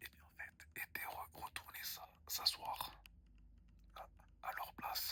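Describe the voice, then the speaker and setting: A man whispers at a very slow pace, his loudness swinging widely between long, frequent pauses. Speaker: ASMR creator. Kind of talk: ASMR whispered storytelling to camera. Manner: whispered, soft, relaxing.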